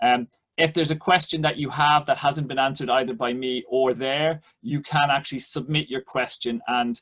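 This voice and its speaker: Speaking with an Irish accent, a man with a fairly high pitch talks at a moderate pace with ordinary pitch variation. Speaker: economics professor. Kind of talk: lecture. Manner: halting, many fillers.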